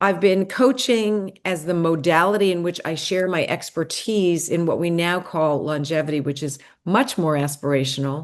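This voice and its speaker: With an American accent and a fairly low pitch, a woman speaks at a moderate pace with ordinary pitch variation in a normal speaking voice, over a quiet background. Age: 60s. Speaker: gerontologist and longevity coach. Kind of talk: podcast interview. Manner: conversational.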